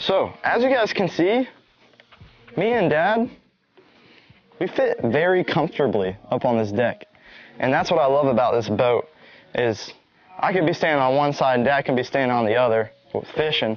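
Long, frequent pauses break up speech at a moderate pace, and the sound is dry with no echo. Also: man. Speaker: fishing vlogger. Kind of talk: casual vlog chat. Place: boat.

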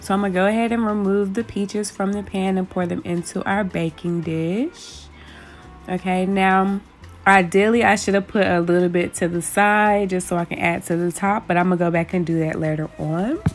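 Faint music sits in the background as a woman talks at a moderate pace. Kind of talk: tutorial. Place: kitchen. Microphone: phone near.

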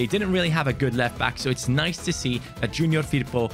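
A man speaking with clear music in the background. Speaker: gaming youtuber. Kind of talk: gaming commentary. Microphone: studio mic.

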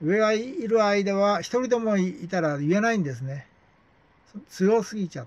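This man's voice sits high in pitch, moving at a moderate pace with lively intonation and big swings in loudness. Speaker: YouTuber. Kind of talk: monologue. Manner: rambling, filler-heavy. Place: home room. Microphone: phone near.

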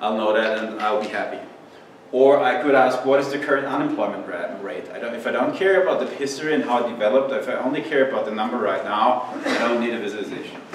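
Someone with a German accent talks at a very fast pace with ordinary pitch variation, amid audible room echo and light background noise. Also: man. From Austria. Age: 30s. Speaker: university professor. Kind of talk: lecture. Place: classroom.

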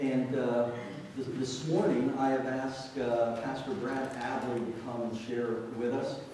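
In a strong room echo with light background noise, a man speaks at a very slow pace with fairly even intonation. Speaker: pastor. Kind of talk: church announcements and introduction. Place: church.

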